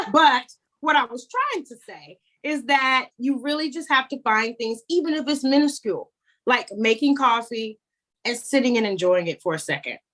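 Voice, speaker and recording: High-pitched, a woman speaks with lively intonation. Her pace is moderate. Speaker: TikTok creator and motivational speaker. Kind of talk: podcast interview answer. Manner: energetic, preacher-like, friendly.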